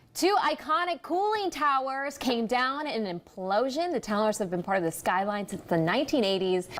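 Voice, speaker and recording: Over background music, a woman with a high pitch talks at a moderate pace, swinging her pitch very widely. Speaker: television news anchor. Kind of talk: broadcast news anchor delivery. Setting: studio news desk.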